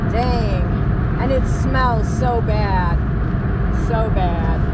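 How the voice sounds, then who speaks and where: Loud background noise fills this recording of a woman. Her voice sounds dry, with no echo. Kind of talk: casual vlog chat. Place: car. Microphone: phone near.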